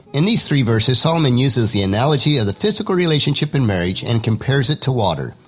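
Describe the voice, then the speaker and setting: Very fast speech with very wide pitch swings, music in the background. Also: man. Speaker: Bible teaching podcaster. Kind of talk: devotional podcast talk. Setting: home studio.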